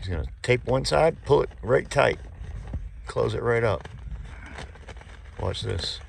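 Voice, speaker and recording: Amid noticeable background noise, a man with an American accent speaks at a fairly slow pace, taking long, frequent pauses. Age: 60s. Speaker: home repair contractor. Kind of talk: on-the-job tutorial. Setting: crawlspace under a mobile home. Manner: casual, conversational.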